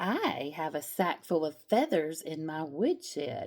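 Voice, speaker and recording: Putting on a character voice, a woman speaks with a very deep, low pitch. Her pace is fairly slow. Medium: read story. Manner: smooth then gruff.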